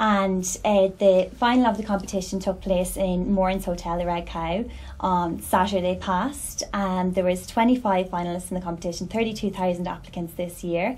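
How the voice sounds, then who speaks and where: With an Irish accent, a woman speaks at a moderate pace with hardly any pauses, her medium-pitched voice somewhat breathy and her intonation fairly even. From Ireland, County Cavan. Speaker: beauty pageant winner. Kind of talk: interview. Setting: studio.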